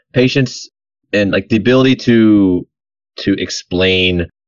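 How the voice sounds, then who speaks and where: A man's plain, everyday voice, fairly low in pitch. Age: 30s. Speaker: navy serviceman. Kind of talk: casual chat.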